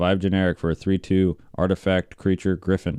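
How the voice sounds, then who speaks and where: The voice has a dark, mellow tone and moves at a moderate pace. The sound is dry and close with no echo over a quiet background. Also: man. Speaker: YouTuber opening card packs. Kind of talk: pack opening commentary.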